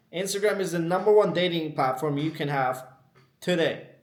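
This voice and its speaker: A man with a non-native accent and a high pitch speaks with ordinary pitch variation in a room with audible echo. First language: not English. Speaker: dating advice youtuber. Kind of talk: unscripted monologue. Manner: casual, ranting.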